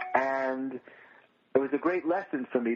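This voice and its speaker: Against noticeable background noise, a man with an American accent speaks at a fairly quick pace and a medium pitch. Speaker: comedian and comedy writer. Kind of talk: radio interview.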